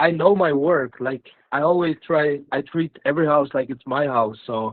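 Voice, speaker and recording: A man with a non-native accent talks at a moderate pace. His pitch is fairly high and his intonation fairly even. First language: not English. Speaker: house painter. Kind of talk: casual testimony. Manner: halting.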